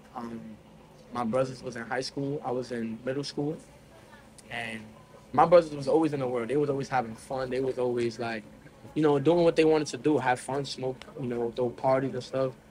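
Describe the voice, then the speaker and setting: Amid noticeable background noise, a man with an American accent and a medium pitch talks at a fairly quick pace, with fairly even intonation and long, frequent pauses. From New York City, the Bronx. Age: 18. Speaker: young evangelist. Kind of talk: testimony. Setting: laundromat.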